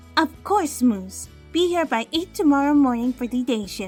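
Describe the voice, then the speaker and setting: A female-sounding, put-on character voice speaks at a high pitch and moderate pace. Clear music plays in the background. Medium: audio drama. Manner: calm, dry and playful.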